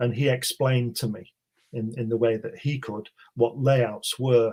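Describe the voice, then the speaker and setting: With a British accent, a man speaks at medium pitch and a moderate pace, somewhat breathy, his intonation fairly even. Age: 60s. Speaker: author. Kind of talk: interview.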